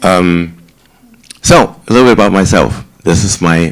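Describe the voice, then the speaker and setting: Someone with a German accent speaks at a fairly slow pace amid noticeable background noise. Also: man. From Germany, Heidelberg. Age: 60s. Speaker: senior residence director. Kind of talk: talk to residents about himself.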